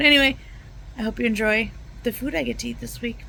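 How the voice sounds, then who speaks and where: A woman is speaking. Noticeable background noise runs underneath. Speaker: home cooking vlogger. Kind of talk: casual vlog. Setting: at home in recliner. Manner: soft-spoken.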